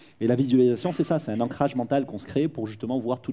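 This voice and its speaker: At a very fast pace, a man speaks with a dark, mellow tone, medium pitch and ordinary pitch variation. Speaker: conference speaker and professional actor. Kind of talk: interactive conference talk with Q&A. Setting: stage with audience. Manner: animated; loud.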